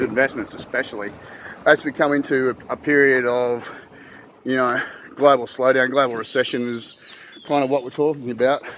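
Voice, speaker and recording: Noticeable background noise surrounds a man with an Australian accent and a medium pitch. He talks at a moderate pace with fairly even intonation and long, frequent pauses. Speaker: financial advisor. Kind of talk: casual talk to camera. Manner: hesitant, many fillers and repeats.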